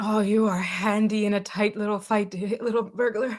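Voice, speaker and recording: In a put-on character voice, the speaker delivers monotone, flat intonation at a moderate pace. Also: woman, medium pitch for a woman. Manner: approving, hearty, muffled.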